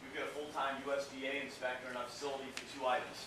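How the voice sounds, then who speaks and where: With noticeable background noise and audible echo from the room, a man talks in a medium register. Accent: American. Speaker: seafood company representative. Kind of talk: presentation to an audience. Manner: casual, many filler words.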